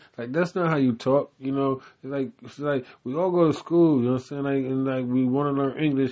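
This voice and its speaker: An American accent comes through at a fairly quick pace, with hardly any pauses. The intonation stays fairly even. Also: man, fairly high pitch for a man. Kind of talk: casual solo rambling, mic test. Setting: home recording with small mic. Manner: rambling, filler-heavy.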